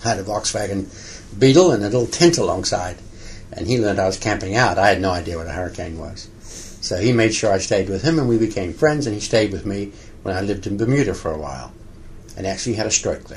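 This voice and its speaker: In a room with audible echo and noticeable background noise, a man with a New Zealand accent talks very fast in a fairly low pitch with lively intonation. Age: 60s. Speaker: physiotherapist. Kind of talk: interview. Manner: halting.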